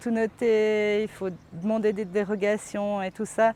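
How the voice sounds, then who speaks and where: A woman speaks at a very slow pace. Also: very clean recording, silent background. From French-speaking Switzerland, Vaud (Yvonand). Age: 40s. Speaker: organic farmer. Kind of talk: interview testimony. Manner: hesitant, many fillers.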